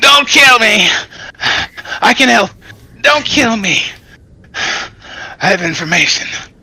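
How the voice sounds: Using a put-on character voice, a man speaks at an extremely high pitch and a fairly slow pace, with long, frequent pauses.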